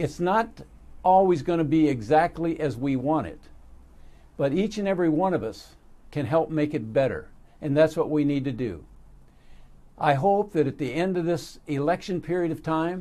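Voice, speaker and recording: Fairly high-pitched man with an American accent and a dark, mellow tone, at a moderate pace with long, frequent pauses and ordinary pitch variation. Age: 80s+. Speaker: motivational speaker. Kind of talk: motivational talk.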